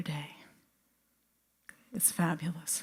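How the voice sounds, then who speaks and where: A woman with a dark, mellow tone speaks very slowly and somewhat breathily. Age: 70s. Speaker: biophysicist and healer. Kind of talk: talk to audience.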